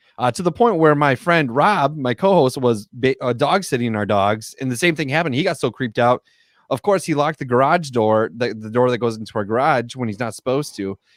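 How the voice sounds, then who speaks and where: A man talks with a Wisconsin accent at a fairly quick pace, his medium pitch lively in intonation. The sound is dry and close, with no echo. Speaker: podcast co-host. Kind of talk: casual chat. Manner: halting, many fillers.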